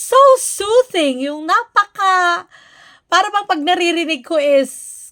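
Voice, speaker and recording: Lively in intonation, a woman speaks in a bright, sharp tone. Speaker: reaction vlogger, nurse. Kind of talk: reaction commentary. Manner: animated, not soft-spoken.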